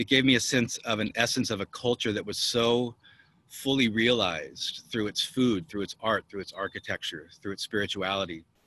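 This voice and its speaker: Medium-pitched male voice with an American accent, a bright, sharp tone, fairly even intonation and a moderate pace. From United States. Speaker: musician, percussionist. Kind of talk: panel talk. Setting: video call from his rooftop.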